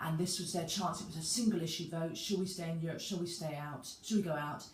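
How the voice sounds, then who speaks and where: A woman's somewhat breathy, fairly low voice at a fairly quick pace, with fairly even intonation and audible room echo. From UK. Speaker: personal trainer. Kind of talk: talking-head video monologue. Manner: halting.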